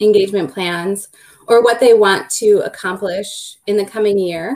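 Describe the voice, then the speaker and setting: A woman with a Minnesota accent at a fairly high pitch and moderate pace. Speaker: law firm business development director. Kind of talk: panel webinar discussion.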